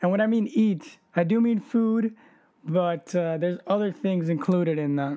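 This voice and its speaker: With ordinary pitch variation, the speech carries a dark, mellow tone at a moderate pace. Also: man, high pitch for a man. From Rome, Italy, then Miami. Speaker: podcast co-host, college student. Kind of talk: casual chat. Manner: hesitant, many fillers.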